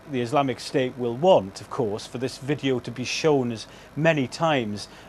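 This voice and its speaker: The pace is moderate and the pitch variation ordinary. It is a plain, everyday voice. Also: man. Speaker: news correspondent. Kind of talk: live TV news report.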